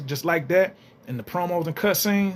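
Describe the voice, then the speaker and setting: A man talks in a high voice with an animated tone. His pace is fairly quick. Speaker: gaming YouTuber. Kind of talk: casual vlog commentary. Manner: fast.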